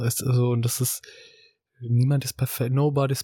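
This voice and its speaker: The somewhat breathy voice has a dark, mellow tone, heard dry and close with no echo on a very clean recording with a silent background. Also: man. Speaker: podcast co-host and company co-founder. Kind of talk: casual conversational podcast. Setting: studio, sitting next to co-host.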